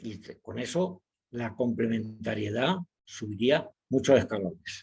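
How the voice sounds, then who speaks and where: Somewhat breathy, a man speaks at a fairly slow pace and medium pitch. His intonation is lively. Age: 70s. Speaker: psychiatrist and author. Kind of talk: webinar lecture.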